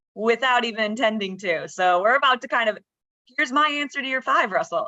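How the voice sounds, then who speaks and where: A woman with an American accent speaks fairly quickly at a fairly high pitch, her tone bright and sharp and her pitch variation ordinary. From United States. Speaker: startup founder. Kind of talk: conference presentation. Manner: fast.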